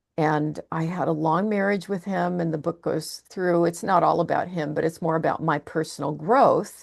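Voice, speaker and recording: A woman speaks at a moderate pace with fairly low pitch, vocal fry, and ordinary pitch variation. The background is quiet. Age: 60s. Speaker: psychotherapist and author. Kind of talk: interview.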